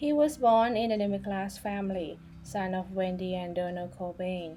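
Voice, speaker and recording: A woman takes a fairly slow pace while music runs underneath. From Thailand. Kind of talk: biography narration. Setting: home recording, poor audio quality.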